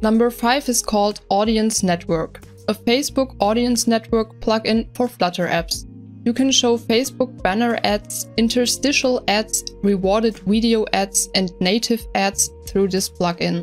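Music plays in the background as a woman speaks fairly slowly at a very even loudness. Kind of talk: tech news roundup narration.

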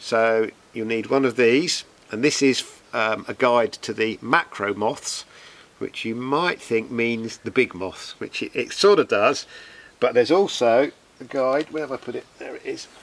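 A man at a fairly slow pace, with ordinary pitch variation and big swings in loudness. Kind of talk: casual outdoor tutorial. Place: garden. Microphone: camera far.

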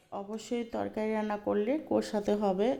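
Dark and mellow in tone, a woman's voice holds a medium pitch. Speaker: family vlogger. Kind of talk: cooking vlog narration.

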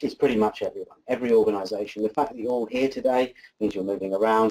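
With a quiet background, a man talks with ordinary pitch variation. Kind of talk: presentation talk. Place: meeting room.

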